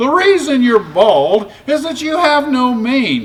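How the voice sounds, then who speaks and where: A put-on character voice sits at a high pitch and moves at a fairly slow pace. Clear background noise is heard throughout. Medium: read story.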